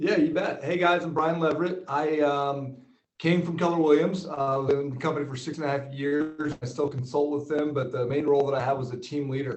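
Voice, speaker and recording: Pitched fairly high, a man talks at a fairly quick pace with fairly even intonation. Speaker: business coach, former real estate team leader. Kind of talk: webinar presentation.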